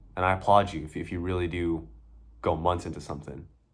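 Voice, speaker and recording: A man with a very deep, low pitch speaks in a space with audible room echo. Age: 20s. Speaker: social media creator. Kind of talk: casual talk to camera. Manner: animated; repetitive stammering.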